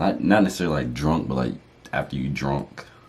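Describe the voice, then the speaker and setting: Amid noticeable background noise, a man with a very deep, low pitch talks at a very fast pace. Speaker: YouTuber, married couple channel. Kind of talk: casual chat.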